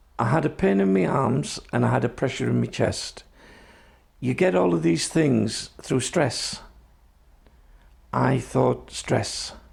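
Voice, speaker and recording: A man speaks at a very slow pace with vocal fry, very wide pitch swings, very even loudness, and long, frequent pauses. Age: 60s. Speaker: Traveller community health advocate. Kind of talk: personal testimony.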